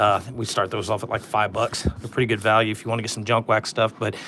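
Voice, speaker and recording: Noticeable noise sits behind the voice. A man rushes through his words at a very fast pace. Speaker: sports card collector opening packs. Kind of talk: casual live stream pack opening. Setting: live stream. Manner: monotone.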